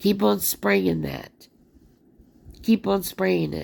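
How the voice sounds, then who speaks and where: With vocal fry and very wide pitch swings, a woman speaks at a very slow pace. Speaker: video blogger. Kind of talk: casual commentary to viewers.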